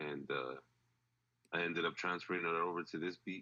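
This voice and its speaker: A man with an American accent talks at a fairly quick pace in a bright, sharp tone. His intonation is monotone and flat, with vocal fry. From El Paso, Texas (the Valley). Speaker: rapper and beat producer. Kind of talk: casual interview.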